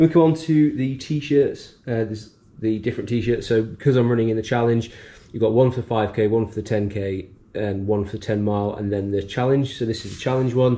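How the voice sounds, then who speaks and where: At a fairly quick pace, a man speaks in a dark, mellow tone at a medium pitch with ordinary pitch variation. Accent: British. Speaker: running vlogger. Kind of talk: casual vlog narration. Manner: hesitant, many fillers.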